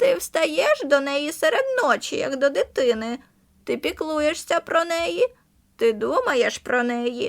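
A woman uses a creaky, high-pitched put-on character voice. Her pace is fairly slow. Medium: read story. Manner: blunt, knowing.

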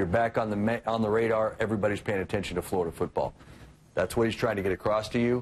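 Over light background noise, a man talks at a fairly low pitch with fairly even intonation. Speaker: sports reporter. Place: office. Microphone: phone near.

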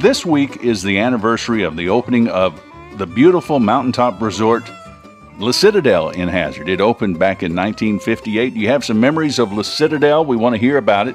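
A man speaks at a moderate pace with faint music in the background. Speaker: radio show host. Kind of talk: radio talk show chat. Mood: warm, nostalgic, upbeat. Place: studio. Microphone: studio mic.

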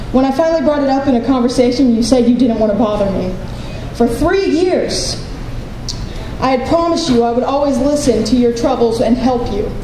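Over light background noise and audible room echo, a woman talks at a fairly quick pace. Her pitch is high, with ordinary variation. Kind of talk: spoken word poetry reading. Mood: hurt, bitter, reflective. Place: hall. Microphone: handheld.

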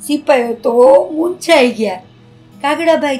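A woman speaks in an animated tone with faint music in the background. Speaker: storyteller; puppeteer. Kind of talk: children's story narration. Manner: expressive, animated. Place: home room.

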